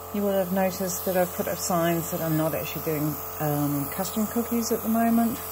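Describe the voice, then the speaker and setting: A woman speaks at a moderate pace with ordinary pitch variation. Audible room echo and noticeable background noise accompany her. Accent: New Zealand. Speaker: cookie decorator. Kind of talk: tutorial. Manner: casual, halting.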